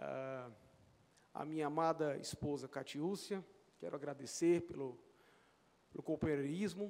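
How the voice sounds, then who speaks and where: A man with a fairly high pitch talks at a fairly slow pace with fairly even intonation. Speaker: mathematics professor. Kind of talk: acceptance speech. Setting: legislative chamber ceremony. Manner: halting.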